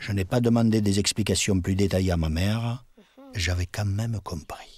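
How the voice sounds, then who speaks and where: Against music in the background, a man with a southern French accent speaks at a fairly low pitch with fairly even intonation. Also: moderate pace. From Paris, France. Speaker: witness recounting childhood memories. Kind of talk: personal narration of memories.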